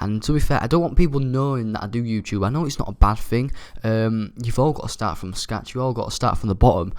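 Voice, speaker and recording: A quiet male voice at a medium pitch and very fast pace, with a Yorkshire accent. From Yorkshire, near Hull. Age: young. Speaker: gaming YouTuber. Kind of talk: gameplay commentary. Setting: university flat. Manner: quiet, subdued.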